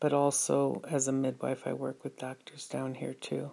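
Speech in an American accent, on a very clean recording with a silent background. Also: woman. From United States. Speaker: midwife and podcast host. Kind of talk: solo monologue podcast.

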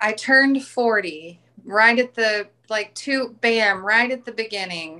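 The voice has a bright, sharp tone and ordinary pitch variation. The recording is very clean, with a silent background. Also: woman. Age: 40s. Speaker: small-business owner and mom. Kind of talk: testimony.

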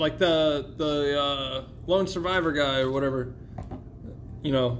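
A man at a fairly slow pace, with long, frequent pauses and noticeable background noise. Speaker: podcast host. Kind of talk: casual chat. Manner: casual, joking.

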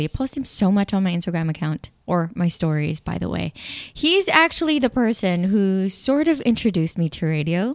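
A woman with a Filipino accent speaks at a moderate pace. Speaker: podcast host. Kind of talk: casual chat.

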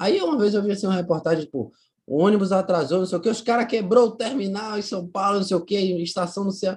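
Speaking at a very fast pace, a man uses a high voice. His pitch varies in an ordinary way. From Brazil, Bahia (Itaparica island near Salvador). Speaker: local historian and socio-environmental project founder. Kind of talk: casual interview.

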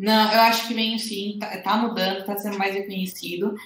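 Audible room echo around a woman's fairly high-pitched voice. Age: 20s. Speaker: professional bodybuilding athlete. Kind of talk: interview.

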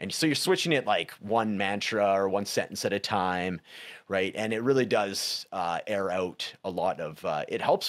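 A man with a western Canadian accent speaks at a fairly low pitch with lively intonation. The recording is very clean, with a silent background. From western Canada, Prince George, British Columbia. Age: 40s. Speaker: recovery and life coach. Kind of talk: casual interview conversation.

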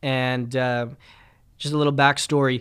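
Recorded very cleanly against a silent background, a man speaks at medium pitch in a monotone, flat intonation. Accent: Canadian. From Winnipeg, Canada. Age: 20s. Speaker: pastor. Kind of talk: podcast monologue.

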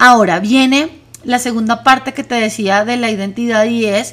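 A fairly slow pace from a woman with a high-pitched voice. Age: 40s. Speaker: wellness podcast host. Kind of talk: reflective monologue.

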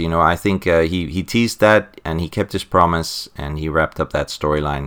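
A man speaks in a South African accent with a very deep, low pitch. His tone is bright and sharp. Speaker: podcast co-host. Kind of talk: casual podcast chat about comics.

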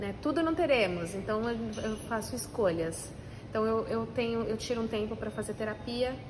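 With audible room echo and noticeable background noise, a woman speaks at a moderate pace in a fairly high voice with lively intonation. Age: 40s. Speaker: food entrepreneur. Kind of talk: interview.

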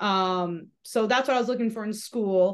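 Against a quiet background, a woman with an American accent uses a normal speaking voice and fairly even intonation. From Massachusetts. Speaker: former hammer thrower and sales rep. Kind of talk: casual interview chat.

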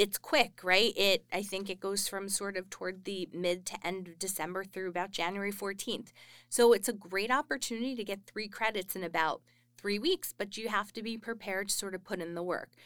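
On a very clean recording with a silent background, an American woman with an ordinary speaking voice talks at medium pitch and a fairly quick pace with fairly even intonation. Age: 30s. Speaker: university instructor. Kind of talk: interview. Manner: casual with filler words.

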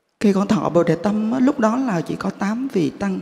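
With very wide pitch swings, a woman speaks. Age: 50s. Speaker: Buddhist lay practitioner. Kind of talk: testimony.

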